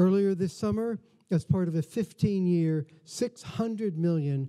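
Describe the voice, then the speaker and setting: A man's dark, mellow tone shows ordinary pitch variation, with quiet in the background. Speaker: museum host. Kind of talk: formal welcome speech. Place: hall. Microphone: podium.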